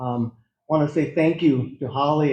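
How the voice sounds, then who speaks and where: This man has an American accent and a dark, mellow tone that is somewhat breathy. He talks at a fairly slow pace with fairly high pitch. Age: 60s. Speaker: farmer. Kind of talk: presentation. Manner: halting.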